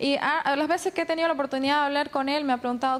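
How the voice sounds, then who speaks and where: Faint music plays behind a woman. She speaks at a high pitch with ordinary pitch variation. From Bolivia. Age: 20s. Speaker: beauty queen and communication student; interviewee. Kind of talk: TV interview. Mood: defensive, firm. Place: street. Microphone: handheld.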